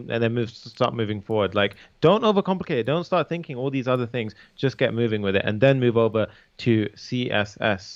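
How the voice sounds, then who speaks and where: A man talks at a fairly quick pace with a British accent. His intonation is lively. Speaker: coding instructor. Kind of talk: tutorial. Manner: casual, conversational.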